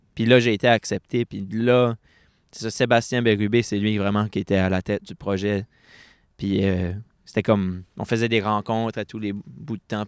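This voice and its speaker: A man with an Acadian accent, fairly low in pitch, at a moderate pace with monotone, flat intonation, dry and close with no echo in a very clean recording with a silent background. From Acadia, New Brunswick (Bathurst). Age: 20s. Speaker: poet. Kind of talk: interview. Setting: book fair stage with audience. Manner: casual, halting with fillers.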